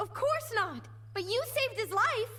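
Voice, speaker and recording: A squeaky put-on character voice at a moderate pace with clear background noise. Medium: machinima.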